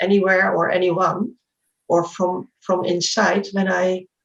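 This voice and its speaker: A woman, fairly slow in pace, somewhat breathy in voice. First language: not English. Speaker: spiritual speaker. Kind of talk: interview. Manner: halting; reflective.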